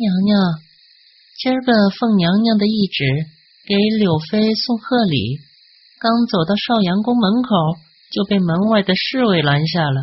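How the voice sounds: Putting on a character voice, a man talks high-pitched with a slightly husky edge, lively intonation, and a fairly slow pace.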